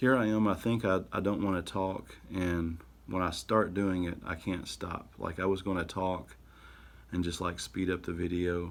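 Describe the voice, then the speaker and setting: Here a man talks with a very deep, low pitch. His intonation stays fairly even. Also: moderate pace. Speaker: artist and YouTuber. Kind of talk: casual narration while drawing. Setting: home studio, camera audio. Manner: halting.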